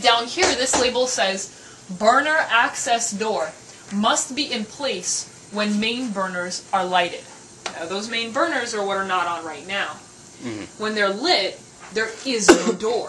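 Noticeable background noise runs through the clip. A woman talks at a fairly slow pace. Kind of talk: casual explanation on tour. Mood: alarmed, joking. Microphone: camera far.

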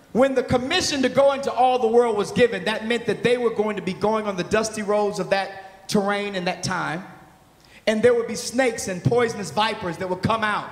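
Loud and animated, a man with a high pitch talks at a fairly quick pace amid audible room echo. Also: ordinary pitch variation. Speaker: pastor. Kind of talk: sermon. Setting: stage with audience. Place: stage. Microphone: handheld.

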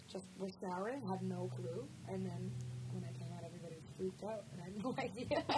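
Loud background noise surrounds the speech. A woman talks very fast. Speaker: interview guest. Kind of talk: interview answer. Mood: amused, chatty. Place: meeting room. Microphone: handheld.

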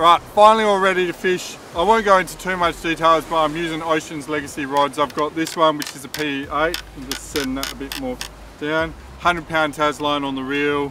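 A man's fairly quick speech with fairly even intonation, dry with no echo, over noticeable background noise. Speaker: fishing vlogger. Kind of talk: casual vlog chat. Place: open country. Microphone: phone near.

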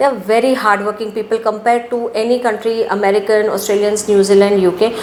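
A woman is speaking. There is noticeable background noise around her. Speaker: overseas education consultant. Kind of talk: interview.

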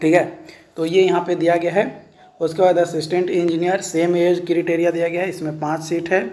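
In a room with audible echo, a man speaks at a moderate pace in a high pitch. His tone is dark and mellow, with little pitch movement.

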